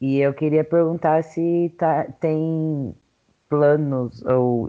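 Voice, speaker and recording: A man's voice with a dark, mellow tone. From São Paulo city. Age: 20s. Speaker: podcast co-host. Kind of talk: casual chat.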